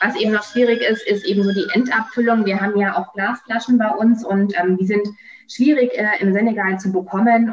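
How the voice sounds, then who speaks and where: A woman talks at a fairly quick pace and a medium pitch, with fairly even intonation. Noticeable background noise runs underneath. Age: 30s. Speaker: company founder. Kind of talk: interview. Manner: hesitant, many fillers.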